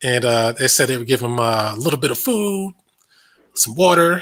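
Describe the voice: A man talks at a moderate pace and medium pitch, his fairly bright tone paired with lively intonation.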